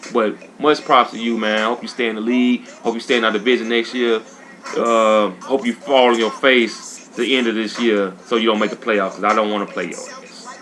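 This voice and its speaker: A man speaks over music in the background. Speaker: video game streamer. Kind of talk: casual gaming commentary. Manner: fast; animated.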